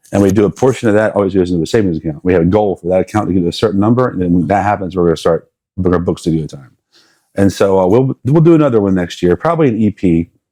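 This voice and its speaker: A man with an American accent talks very fast in a very deep, low voice with a dark, mellow tone and ordinary pitch variation. The sound is dry and close, with no echo. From South Carolina. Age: 40s. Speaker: musician and music teacher. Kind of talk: casual interview chat.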